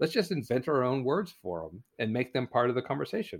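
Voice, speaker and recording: With a West Coast accent, a man talks at a medium pitch. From US Pacific Northwest, coastal Oregon. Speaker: naturalist and author. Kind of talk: casual chat.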